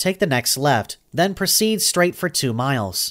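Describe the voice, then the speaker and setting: Very wide pitch swings mark this put-on character voice, heard at a moderate pace on a very clean recording with a silent background. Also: man, fairly high pitch for a man. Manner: neutral, pleasant.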